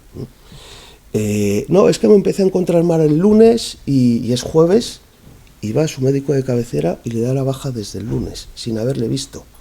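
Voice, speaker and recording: Medium-pitched male speech full of very wide pitch swings. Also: moderate pace. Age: 40s. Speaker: human resources manager. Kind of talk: panel talk with Q&A. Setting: conference event, being recorded.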